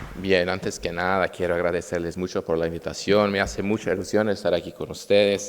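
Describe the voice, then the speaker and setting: A man speaks in a very deep, low pitch. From Brazil. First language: Portuguese, also Italian (speaking Spanish). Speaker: state attorney and conference speaker. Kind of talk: conference talk. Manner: slightly halting non-native Spanish.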